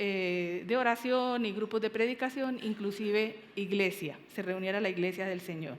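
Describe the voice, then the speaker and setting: Speaking at a fairly slow pace, a woman lets her pitch vary in an ordinary way. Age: 60s. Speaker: pastor. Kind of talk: sermon. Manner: halting, many fillers.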